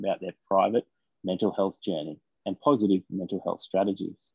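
In an Australian accent, a man speaks at a fairly quick pace with a fairly low pitch. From Australia, Taree NSW. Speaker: podcast co-host, mental health campaigner. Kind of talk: casual interview chat; scripted intro.

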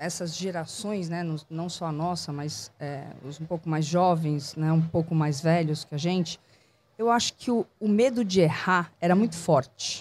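A woman's fairly low voice at a fairly slow pace, with ordinary pitch variation, on a very clean recording with a silent background. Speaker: cultural producer and entrepreneur. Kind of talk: casual interview. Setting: outdoors in a public square bandstand.

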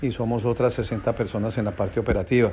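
A man's dark, mellow tone at a fairly quick pace. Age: 60s. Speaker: business owner. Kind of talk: interview answers.

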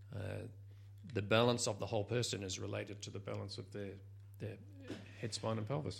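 This man talks at a very fast pace in a New Zealand accent, his fairly low pitch carrying vocal fry. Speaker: Alexander Technique practitioner. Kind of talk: casual interview. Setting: studio.

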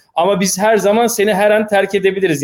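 A man talking at a fairly quick pace. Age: 30s. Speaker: entrepreneur, mobile game publisher. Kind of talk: casual chat.

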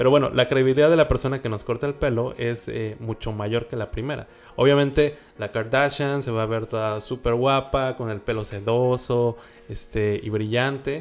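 Speaking at a medium pitch and moderate pace, a man keeps his intonation fairly even. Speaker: podcast co-host. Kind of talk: casual podcast chat. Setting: home studio. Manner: hesitant with many fillers. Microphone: new recording equipment.

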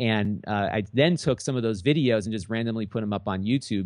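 A man with a fairly low pitch has an unremarkable speaking voice. He talks at a fairly quick pace with ordinary pitch variation. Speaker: YouTube gadget reviewer. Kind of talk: casual interview.

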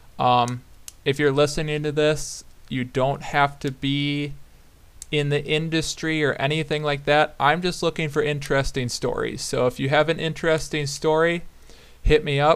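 A man's fairly high voice with an American accent, flat and monotone, at a moderate pace, on a very clean recording over a silent background. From southern Wisconsin, US Midwest. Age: 20s. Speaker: podcast host, fly fisherman. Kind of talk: solo podcast intro, casual monologue. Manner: casual with frequent fillers (um, uh).

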